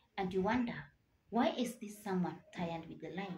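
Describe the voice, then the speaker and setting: A somewhat breathy woman talks at a moderate pace with lively intonation over light background noise. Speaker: motivational vlogger. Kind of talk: motivational talk to camera. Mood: earnest, encouraging. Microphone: phone near.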